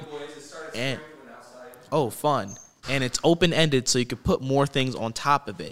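Here a man speaks at a medium pitch with ordinary pitch variation. His pace is moderate. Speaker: podcast host. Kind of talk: casual chat. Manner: enthusiastic, laid-back.

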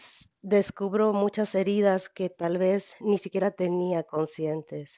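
A woman talks fairly slowly, her voice at a medium pitch. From Mexico, Jalisco. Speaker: convert sharing testimony. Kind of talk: personal testimony. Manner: halting.

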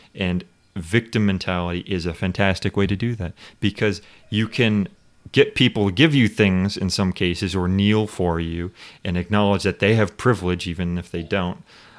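In a very clean recording with a silent background, a man with an unremarkable speaking voice talks at a moderate pace, his pitch fairly low and his intonation fairly even. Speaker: podcast host. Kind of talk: casual chat.

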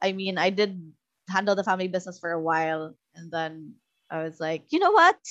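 Speaking at a fairly quick pace, a woman with a Visayan Filipino accent keeps a medium pitch and fairly even intonation while her loudness swings widely. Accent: Filipino (Cebuano) English. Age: 30s. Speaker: content creator and podcaster. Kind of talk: casual interview chat.

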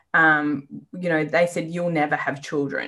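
A bright, sharp tone in an Australian accent at a fairly quick pace, on a very clean recording with a silent background. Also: woman. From Western Australia, rural. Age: 40s. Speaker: business owner and endometriosis patient. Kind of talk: interview, personal story.

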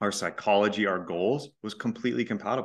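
A man's fairly low-pitched voice, a plain, everyday voice, against a quiet background. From Texas. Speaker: relationship coach. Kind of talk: casual chat.

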